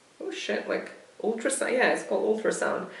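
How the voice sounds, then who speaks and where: Noticeable background noise plus audible room echo on a woman's voice. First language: not English. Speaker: video blogger. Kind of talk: casual monologue. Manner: halting.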